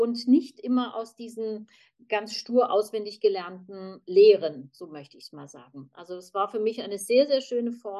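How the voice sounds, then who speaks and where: This is a normal speaking voice: a woman with fairly high pitch and lively intonation, talking at a moderate pace. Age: 50s. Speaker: human design practitioner. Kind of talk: group conversation.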